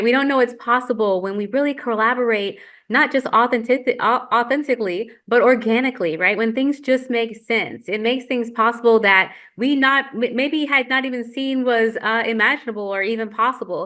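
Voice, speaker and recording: A woman talks at a fairly quick pace in a fairly high pitch with a bright, sharp tone. Her pitch variation is ordinary, and the background is quiet. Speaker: moderator of virtual community gathering. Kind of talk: panel moderation. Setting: video call. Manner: fast.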